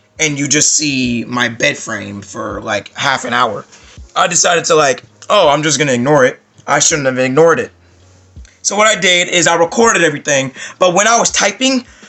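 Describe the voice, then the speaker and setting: Lively intonation from a man with a fairly high pitch at a fairly quick pace, music in the background. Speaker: gaming YouTuber. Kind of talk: casual vlog monologue.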